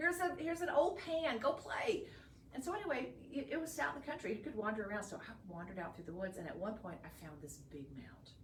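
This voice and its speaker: An animated woman with a Texan accent talks very fast in a fairly high voice with vocal fry, very wide pitch swings and big swings in loudness. Audible room echo surrounds her. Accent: Texan Southern American. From northeast Texas. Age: 60s. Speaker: shopping channel host and gemologist. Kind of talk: live shopping sales pitch.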